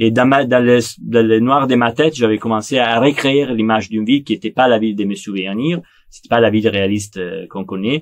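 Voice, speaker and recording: With a Neapolitan accent, a man talks at a fairly quick pace with ordinary pitch variation and big swings in loudness. The background is quiet. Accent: Italian (Neapolitan) accent in French. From Italy, Naples; Italy. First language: Italian (speaking French). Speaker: film director. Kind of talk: interview monologue; interview answer. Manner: halting, frequent repetitions and hesitations.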